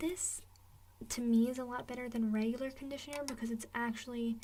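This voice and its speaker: A soft-spoken woman at fairly high pitch, relaxed in tone, with fairly even intonation and a moderate pace. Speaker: ASMR creator. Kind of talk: ASMR rambling and product tapping. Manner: soft-spoken, relaxed, casual.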